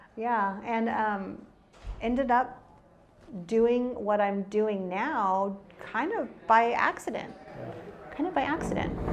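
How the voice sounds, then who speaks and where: A woman's fairly high voice at a very slow pace, with ordinary pitch variation and audible room echo. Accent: American. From Texas, San Antonio and Austin area. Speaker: property manager. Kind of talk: casual interview.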